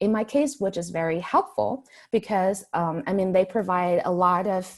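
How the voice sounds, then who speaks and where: Her pitch is medium. The woman's pitch variation is ordinary. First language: not English. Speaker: graduate school applicant, panelist. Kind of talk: panel presentation.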